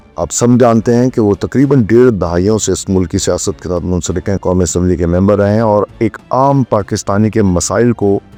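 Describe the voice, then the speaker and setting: Over music in the background, a man with a fairly low pitch and ordinary pitch variation speaks in a dry, close sound with no echo. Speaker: interviewer. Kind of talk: interview questions.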